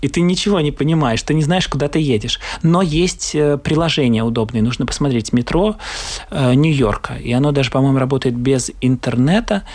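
Over noticeable background noise, a man with a fairly high pitch speaks at a moderate pace, with ordinary pitch variation and very even loudness. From Latvia. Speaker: theatre actor. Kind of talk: casual travel interview.

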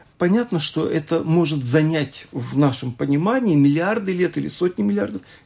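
A man at a moderate pace, with a dark, mellow tone and very wide pitch swings. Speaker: rabbi. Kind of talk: radio panel discussion.

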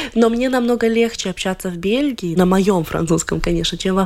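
Background noise is clearly audible throughout. Over it comes a woman's voice, medium in pitch. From Latvia. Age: 20s. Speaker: violinist. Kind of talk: radio interview.

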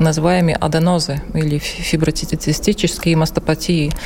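Amid noticeable background noise, a woman talks at a fairly low pitch with monotone, flat intonation. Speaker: pathologist. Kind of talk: interview. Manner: halting.

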